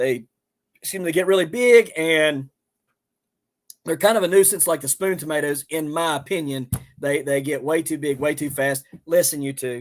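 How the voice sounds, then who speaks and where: In a Southern accent, a man speaks at a moderate pace and a fairly high pitch with ordinary pitch variation. Long pauses come often. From West Virginia. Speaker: homesteader and gardener. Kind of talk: live stream chat. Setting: live stream. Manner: casual, halting with fillers.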